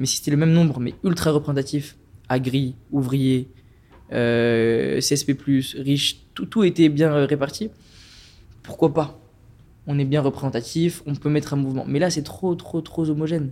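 Long, frequent pauses break up a man's speech. His tone is dark and mellow, his intonation fairly even. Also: fairly high pitch for a man, fairly slow pace. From France, Strasbourg. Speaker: climate activist. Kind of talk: casual chat.

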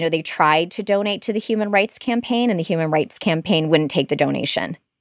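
A plain, everyday voice with lively intonation, on a very clean recording with a silent background and a dry, close sound with no echo. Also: woman. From Michigan. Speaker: public radio reporter. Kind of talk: interview.

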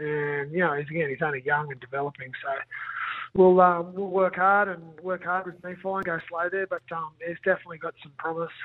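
A high-pitched man with an Australian accent at a fairly quick pace, fairly even in intonation but with big swings in loudness. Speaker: rugby league coach. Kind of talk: radio interview.

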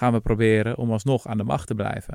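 Over a very clean recording with a silent background and a dry, close sound with no echo, a man speaks fairly quickly at a medium pitch in an ordinary speaking voice. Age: 30s. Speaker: podcast host, historian. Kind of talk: casual chat.

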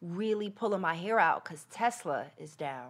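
In a very clean recording with a silent background, a woman with an American accent talks at a moderate pace in a normal speaking voice. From New Jersey. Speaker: actress and comedian. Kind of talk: casual chat interview.

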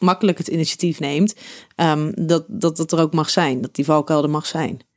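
An ordinary speaking voice from a woman, fairly low in pitch, fairly quick, with fairly even intonation on a very clean recording with a silent background. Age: 30s. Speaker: podcast host and relationship therapist. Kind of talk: interview.

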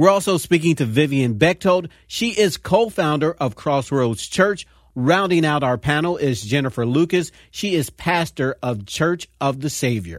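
An unremarkable speaking voice from a man, fairly high in pitch, with lively intonation at a fairly slow pace, in a very clean recording with a silent background. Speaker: radio host. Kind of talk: interview.

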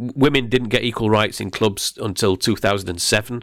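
A man speaks with an English accent at a moderate pace. His pitch variation is ordinary, and the recording is very clean with a silent background. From England. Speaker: beer writer. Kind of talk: interview.

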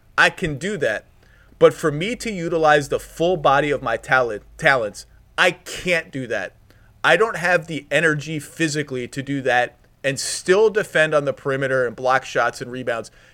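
Bright and sharp in tone, a man talks at a moderate pace with ordinary pitch variation. His pitch is fairly high. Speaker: podcast host. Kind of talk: casual chat.

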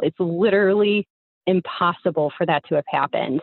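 An ordinary speaking voice from a woman, fairly low in pitch with ordinary pitch variation, at a moderate pace. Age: 30s. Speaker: caller. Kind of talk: storytelling. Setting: phone call.

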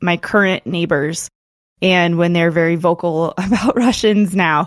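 A woman with an American accent has a normal speaking voice, medium in pitch with ordinary variation, at a moderate pace. The background is quiet and the sound is dry and close with no echo. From Colorado, US. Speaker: author and podcaster. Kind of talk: interview.

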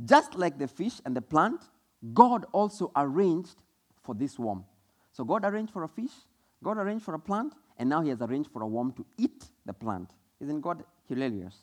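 Someone speaks with a Kenyan accent at a fairly quick pace, using very wide pitch swings and long, frequent pauses. The sound is dry and close, with no echo. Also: man, fairly high pitch for a man. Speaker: preacher. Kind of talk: sermon. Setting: church.

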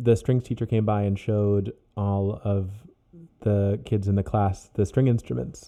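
The speaker is male. He has a dark, mellow tone. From moved around: Ohio, Virginia, Oklahoma, Germany. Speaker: cellist. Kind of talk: casual chat.

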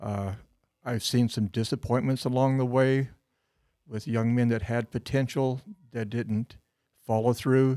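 A man's dark, mellow voice with fairly even intonation and long, frequent pauses, in a very clean recording with a silent background. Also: medium pitch for a man, fairly slow pace. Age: 70s. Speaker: Sunday school teacher and duck hunter. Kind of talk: casual chat.

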